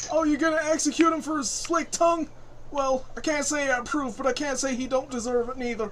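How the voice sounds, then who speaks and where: A gruff put-on character voice at a fairly quick pace, over clear background noise. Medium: actual play. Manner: gruff, folksy.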